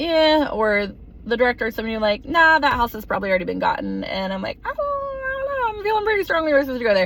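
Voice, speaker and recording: Noticeable background noise sits behind a woman's voice. She talks at a very fast pace with an American accent. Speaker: teacher on a mission trip. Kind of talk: casual video recap. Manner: conversational with many fillers.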